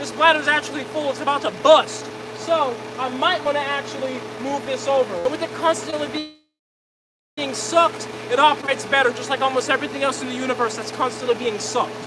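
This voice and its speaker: The delivery is loud and energetic. It moves at a very fast pace. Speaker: livestreamer demonstrating plastic pyrolysis reactor. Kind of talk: live stream demo. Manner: loud, raised voice over pump noise; casual, energetic.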